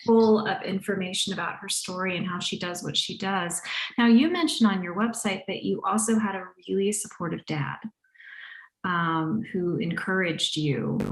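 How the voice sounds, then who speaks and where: A woman's somewhat breathy voice at medium pitch, moderate pace and ordinary pitch variation, with audible room echo. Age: 50s. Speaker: podcast host and animal communicator. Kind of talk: casual interview chat.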